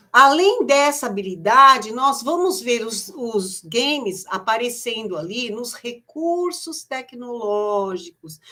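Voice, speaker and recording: A woman's high-pitched voice at a very slow pace, with very wide pitch swings, big swings in loudness and hardly any pauses. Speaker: education trainer for teachers. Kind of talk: online teacher training presentation. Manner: hesitant with repeated fillers.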